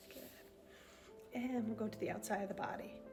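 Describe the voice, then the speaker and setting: A woman speaks in a gentle, calm tone with ordinary pitch variation while music plays in the background. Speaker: EFT tapping guide. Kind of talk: guided tapping session. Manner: slow.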